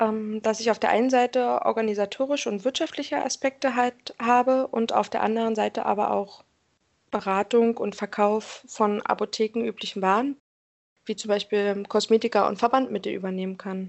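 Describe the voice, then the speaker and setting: A woman speaks with a fairly high pitch and fairly even intonation. She has a plain, everyday voice. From Berlin, Germany. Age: 30s. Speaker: pharmacy commercial assistant. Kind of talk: interview.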